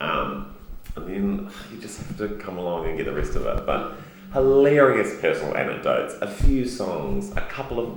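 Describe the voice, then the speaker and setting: With big swings in loudness, a man speaks amid audible room echo and noticeable background noise. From New Zealand, Christchurch. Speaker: comedian. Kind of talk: interview. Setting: Edinburgh Fringe festival.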